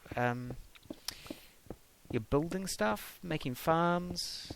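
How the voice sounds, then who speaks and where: A man with a New Zealand accent speaks at a fairly high pitch. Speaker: gaming YouTuber. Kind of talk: casual gameplay commentary. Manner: hesitant, many ums and uhs.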